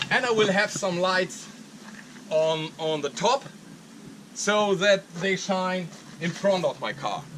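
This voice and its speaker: In a German accent, a man with a high pitch speaks at a very slow pace, with ordinary pitch variation and long, frequent pauses. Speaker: arborist and YouTuber. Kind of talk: vlog walkthrough. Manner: halting.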